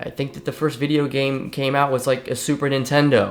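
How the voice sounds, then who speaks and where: A man talks fairly quickly in an American accent, with noticeable background noise behind him. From Ohio, US Midwest (Ohio River valley near West Virginia). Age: 30s. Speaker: fitness coach. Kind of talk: personal life story monologue. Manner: casual, many fillers and repetitions.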